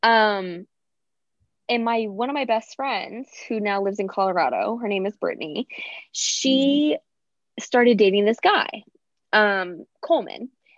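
In an American accent, a woman with a fairly high pitch talks at a fairly slow pace with lively intonation and long, frequent pauses. The sound is dry and close with no echo, over a quiet background. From Chicago suburbs. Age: 20s. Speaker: podcast guest. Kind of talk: casual chat. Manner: animated.

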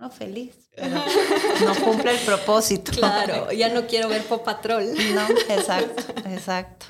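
The delivery is very slow. Pitch varies in an ordinary way. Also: woman, fairly high pitch for a woman. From Costa Rica. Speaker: podcast host. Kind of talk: casual chat. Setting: studio.

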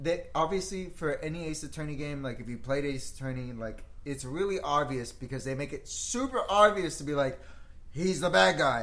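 With lively intonation and a fairly high pitch, a man speaks at a moderate pace amid audible room echo. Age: 30s. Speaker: video game podcast co-host. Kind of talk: casual chat.

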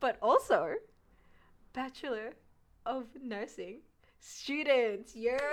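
Pitched high, a woman speaks at a very slow pace with long, frequent pauses and ordinary pitch variation. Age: young. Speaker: nursing student podcast co-host. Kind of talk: casual chat. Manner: animated.

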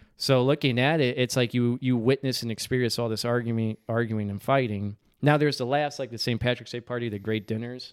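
On a very clean recording with a silent background and dry, close sound with no echo, a man in a plain, everyday voice talks at a fairly quick pace, medium pitch and fairly even intonation. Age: 20s. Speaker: DJ. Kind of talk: casual chat.

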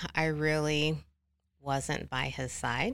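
A woman's very slow speech in a very clean recording with a silent background. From Oklahoma. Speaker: ministry staff member, family member of someone in addiction. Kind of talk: personal testimony interview.

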